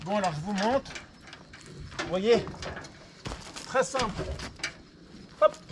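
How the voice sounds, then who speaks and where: Over noticeable background noise, a man with a high voice speaks at a very slow pace, with ordinary pitch variation, long and frequent pauses and big swings in loudness. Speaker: vlogger. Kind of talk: personal video diary. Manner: halting.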